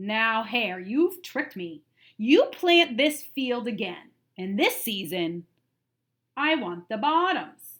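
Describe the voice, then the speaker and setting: A woman's put-on character voice, growling and fairly high, fairly slow, with very wide pitch swings. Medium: read story. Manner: slow, grumbling.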